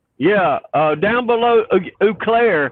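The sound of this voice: A man's slow, high-pitched speech with lively intonation in a Southern US accent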